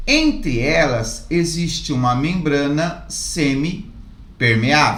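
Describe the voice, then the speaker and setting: Noticeable background noise and audible room echo. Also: man. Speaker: chemistry teacher. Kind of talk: tutorial.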